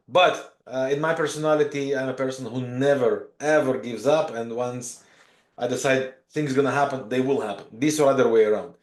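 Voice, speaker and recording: With audible room echo, a man of medium pitch talks at a fairly quick pace and with fairly even intonation. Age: 40s. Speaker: professional trader and mentor. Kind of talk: podcast interview. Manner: hesitant, many fillers.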